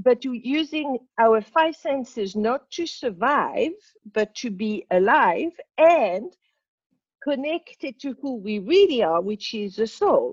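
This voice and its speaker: Very slowly and with very wide pitch swings, a woman speaks at a high pitch in a dry, close sound with no echo. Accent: French. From Morocco. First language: French. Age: 60s. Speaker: spiritual teacher. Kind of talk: interview.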